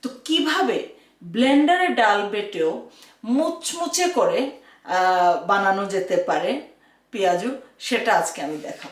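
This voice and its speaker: A woman speaks at a fairly high pitch with very wide swings in pitch. Audible room echo surrounds her voice. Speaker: cooking channel host. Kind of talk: cooking tutorial. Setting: home kitchen. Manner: frequent filler hesitations.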